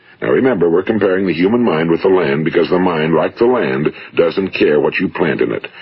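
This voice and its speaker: Talking at a fairly quick pace in an American accent, a man is heard over noticeable background noise. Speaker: radio broadcaster and motivational speaker. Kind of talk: motivational speech / self-help recording. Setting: vintage 1950s studio recording.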